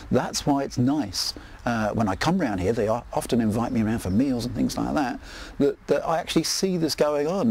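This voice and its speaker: A man speaks in an English accent at a fairly quick pace. His pitch sits in the medium range, with ordinary variation. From England. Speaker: neighbour interviewed for a documentary. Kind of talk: interview. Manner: hesitant, with fillers.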